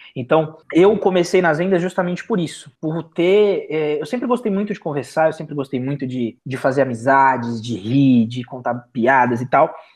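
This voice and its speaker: Moderate pace with hardly any pauses. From Brazilian Northeast. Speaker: salesman, former store manager. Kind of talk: casual podcast conversation.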